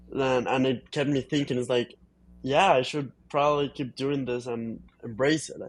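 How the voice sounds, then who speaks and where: The speech carries fairly even intonation over music playing in the background. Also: man, medium pitch for a man, moderate pace. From Colombia. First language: Spanish. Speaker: film editor. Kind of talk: interview. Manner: halting.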